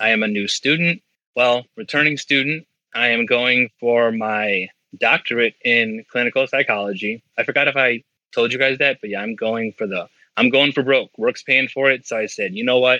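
A man uses a normal speaking voice at a moderate pace with fairly even intonation. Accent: American. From Indiana, near Chicago. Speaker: steel mill worker and student. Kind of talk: casual interview.

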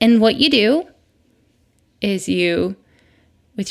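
A woman talks with an American accent. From Michigan, US Midwest. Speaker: podcast host, mother. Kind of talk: casual monologue. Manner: conversational, rambling.

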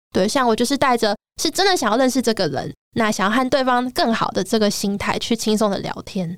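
Lively intonation from a woman at a fairly high pitch and a fairly quick pace. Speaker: illustrator. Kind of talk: casual chat.

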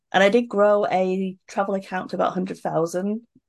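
Over a quiet background, a woman talks at a moderate pace. Her pitch is medium, and she has a British accent. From UK. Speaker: social media entrepreneur and event organizer. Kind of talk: casual chat.

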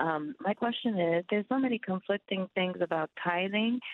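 In an American accent, a woman with an ordinary speaking voice talks at medium pitch and a moderate pace with ordinary pitch variation. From US Midwest, Ohio. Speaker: caller. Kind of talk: phone-in question. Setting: phone call.

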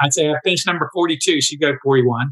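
A man talks at a fairly high pitch with ordinary pitch variation. His tone is bright and sharp.

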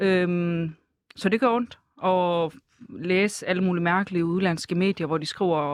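The recording is very clean, with a silent background. A woman speaks at a medium pitch. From Denmark, Herning (Jutland). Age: 20s. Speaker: dental assistant. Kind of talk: casual chat.

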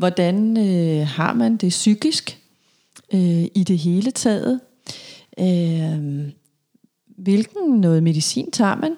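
With lively intonation and a dark, mellow tone, the voice moves at a very slow pace at very even loudness in a very clean recording with a silent background. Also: woman, medium pitch for a woman. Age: 40s. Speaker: psychologist. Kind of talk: interview. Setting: therapy room. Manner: hesitant, many fillers.

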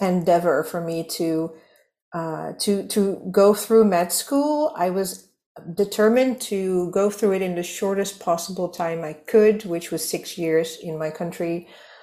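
A woman with a Dutch accent, a medium pitch and ordinary pitch variation. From Netherlands. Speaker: business operations consultant. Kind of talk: casual chat. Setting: video call.

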